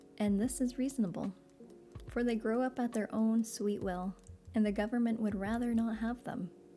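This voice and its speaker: Over music in the background, the speaker talks at a moderate pace. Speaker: streamer reading aloud. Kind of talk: casual chat; reading aloud. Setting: live stream. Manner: soft-spoken.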